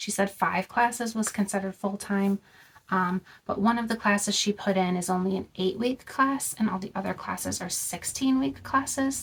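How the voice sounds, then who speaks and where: Medium pitch, ordinary pitch variation and a moderate pace from a woman with a normal speaking voice. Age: 30s. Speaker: vlogger. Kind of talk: casual chat. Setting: in a car. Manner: casual, many filler words.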